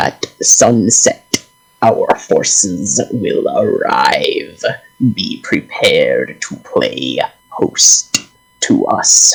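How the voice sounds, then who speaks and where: The pace is very slow. A man puts on a character voice. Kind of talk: formal ceremonial proclamation. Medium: actual play. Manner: haughty, commanding, bored.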